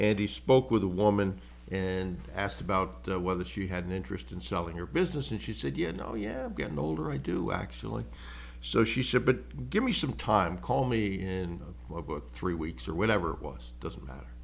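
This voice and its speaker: A man with a very deep, low pitch and vocal fry speaks at a fairly quick pace. His pitch swings very widely, and the room echo is audible. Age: 70s. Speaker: business acquisition mentor, podcast host. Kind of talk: solo podcast monologue. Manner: casual, conversational with fillers.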